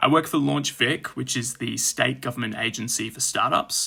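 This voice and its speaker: A man with an Australian accent talks at a moderate pace. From Australia, Brisbane. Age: 30s. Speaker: podcast guest with type 1 diabetes. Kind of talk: interview.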